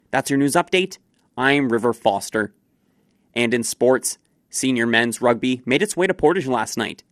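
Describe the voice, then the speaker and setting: In a Canadian accent, a man with a plain, everyday voice speaks at a medium pitch with lively intonation, the sound dry and close with no echo. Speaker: radio newsreader. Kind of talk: brisk local radio newsreading, crisp and scripted, even-toned delivery of headlines. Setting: studio. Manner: formal; brisk and steady.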